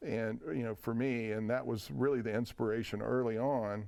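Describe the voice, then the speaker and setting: The recording is very clean, with a silent background. A man with a Tennessee accent talks at medium pitch and a moderate pace, with ordinary pitch variation. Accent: Southern US (Tennessee). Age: 60s. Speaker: whiskey distiller. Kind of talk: interview conversation. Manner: halting, many fillers and restarts.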